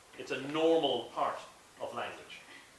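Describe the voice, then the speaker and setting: With an Irish accent, a man talks over noticeable background noise in a space with audible room echo. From Ireland. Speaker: director of an English language school. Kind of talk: presentation to an audience. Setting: talk at a school in St Petersburg with audience. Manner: slow, clear for language learners.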